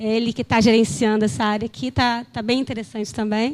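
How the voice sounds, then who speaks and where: A woman speaks in a fairly high voice. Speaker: geologist at environmental agency. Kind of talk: conference presentation. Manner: hesitant, many fillers.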